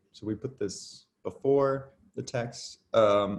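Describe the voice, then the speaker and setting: An American-accented man has a plain, everyday voice, a medium pitch and ordinary pitch variation. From United States. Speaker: artist. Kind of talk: casual chat.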